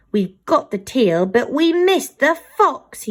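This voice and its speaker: A put-on character voice, female-sounding and high in pitch, at a fairly slow pace with very wide pitch swings. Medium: read story. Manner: blunt, gruff.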